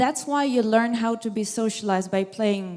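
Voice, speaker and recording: A woman's fairly high voice with a non-native accent. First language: not English. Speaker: audience member asking a question. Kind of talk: audience question at a lecture. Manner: halting.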